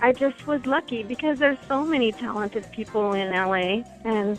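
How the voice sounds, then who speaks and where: Music plays behind a woman with a Californian accent whose fairly high pitch shows ordinary variation. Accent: Californian American English. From Los Angeles. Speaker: singer-songwriter. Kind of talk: interview answer.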